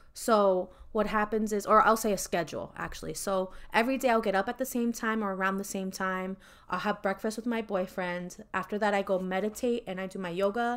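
Heard on a very clean recording with a silent background, a woman with an ordinary speaking voice talks at a medium pitch and fairly quick pace with fairly even intonation. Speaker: podcast host. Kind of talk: casual chat.

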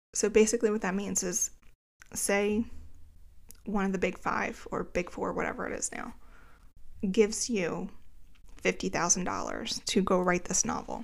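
With an American accent, a woman speaks at a moderate pace and medium pitch, her fairly even intonation edged with vocal fry and broken by long, frequent pauses. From New Jersey, greater Philadelphia area. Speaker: podcast host, author, copy editor and book coach. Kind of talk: solo podcast monologue, personal storytelling.

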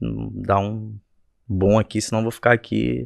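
Against a quiet background, a man with an ordinary speaking voice talks at a moderate pace and a fairly low pitch, the sound dry and close with no echo. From Rio de Janeiro state, Brazil (Rio Bonito). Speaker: musician. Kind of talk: casual chat.

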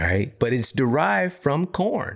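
With an American accent and an animated tone, the speaker talks at a fairly slow pace with vocal fry and very wide pitch swings, on a very clean recording with a silent background. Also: man. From US Midwest, Missouri. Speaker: health podcast host and author. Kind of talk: solo educational monologue.

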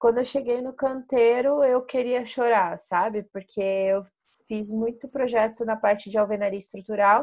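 A woman speaks at a moderate pace with fairly high pitch and fairly even intonation, in an ordinary speaking voice. The background is quiet. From Brazil, interior of Paraná. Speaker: BIM and construction sales professional. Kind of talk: casual interview. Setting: podcast recording.

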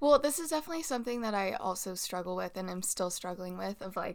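A woman's normal speaking voice at medium pitch with lively intonation, in a very clean recording with a silent background. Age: 20s. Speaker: podcast co-host. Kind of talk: casual chat.

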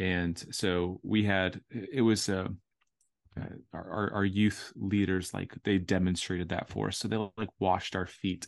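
With an American accent, a man talks at a fairly slow pace in a very deep, low voice and a flat monotone. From Orlando, Florida. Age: 30s. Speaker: poet, author and speaker. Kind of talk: casual interview chat. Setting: video call.

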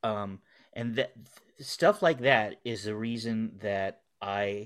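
A man with an unremarkable speaking voice, fairly low in pitch and fairly even in intonation, is captured on a very clean recording with a silent background. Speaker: podcast guest. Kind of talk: casual chat.

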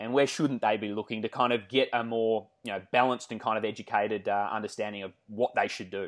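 A man with an Australian accent at a fairly quick pace, in a very clean recording with a silent background. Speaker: podcast host, fitness coach. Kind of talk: interview. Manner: many filler words.

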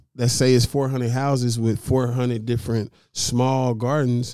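An American-accented man speaks fairly slowly in a dark, mellow tone with monotone, flat intonation. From North Dallas, Texas, partly Little Rock, Arkansas. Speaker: urban farmer and planter box entrepreneur. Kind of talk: casual interview chat.

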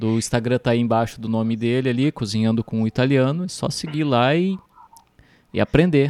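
In a very clean recording with a silent background, a man has an unremarkable speaking voice at a medium pitch. He keeps a moderate pace, and the sound is dry and close with no echo. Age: 30s. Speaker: podcast host. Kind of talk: casual interview.

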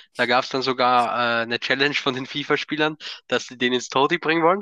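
Against a quiet background, a man talks very fast in a bright, sharp tone with ordinary pitch variation, the sound dry and close with no echo. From Austria. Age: 20s. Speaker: football fan, podcast guest. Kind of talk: casual chat.

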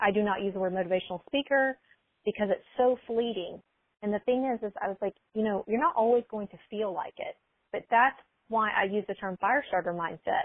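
A plain, everyday voice from a woman with an American accent, fairly high in pitch, with ordinary pitch variation. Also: fairly quick pace. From US South, small-town Alabama. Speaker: mindset coach. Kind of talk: casual interview.

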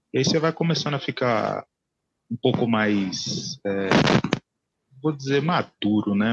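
At a fairly slow pace, a man speaks with ordinary pitch variation in a dry, close sound with no echo. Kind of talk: casual chat. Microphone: too quiet.

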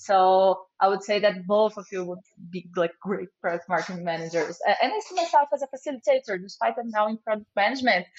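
A woman with a Portuguese accent speaks with lively intonation and big swings in loudness. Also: medium pitch for a woman, fairly quick pace. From Brazil. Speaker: product manager. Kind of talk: casual interview.

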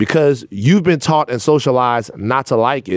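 The speaker has an unremarkable speaking voice with ordinary pitch variation. The pace is moderate. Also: man. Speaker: podcast host. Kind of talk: interview conversation, opening with ad read. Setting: studio.

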